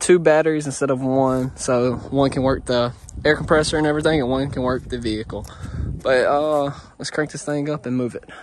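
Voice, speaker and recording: A man's fairly quick speech with fairly even intonation, dry sound with no echo, and light background noise. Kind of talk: casual vlog chat. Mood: pleased, relaxed. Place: open country. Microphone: phone near.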